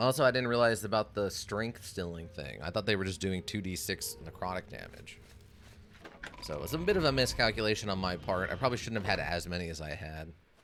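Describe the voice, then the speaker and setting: Music plays behind a man who talks at a very fast pace, his fairly low voice full of lively intonation. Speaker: game streamer. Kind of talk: casual gameplay commentary.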